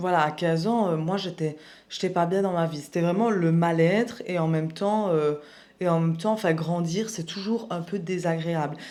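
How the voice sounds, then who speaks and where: A woman's fairly low-pitched voice with a dark, mellow tone and fairly even intonation, amid audible room echo. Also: moderate pace. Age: 20s. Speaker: personal development youtuber. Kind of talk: personal testimony vlog. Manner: casual, hesitant with fillers.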